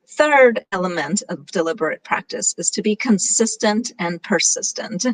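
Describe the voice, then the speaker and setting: At a moderate pace, a woman speaks at a fairly high pitch with lively intonation in a dry, close sound with no echo. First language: Gujarati. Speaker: conference speaker. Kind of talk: presentation talk.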